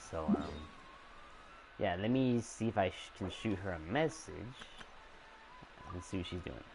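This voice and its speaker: Noticeable background noise sits behind a man's very deep, low voice. He talks at a fairly slow pace with ordinary pitch variation. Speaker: gaming streamer. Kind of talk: live stream chat. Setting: live stream. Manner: halting; casual. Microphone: voice too quiet under game audio.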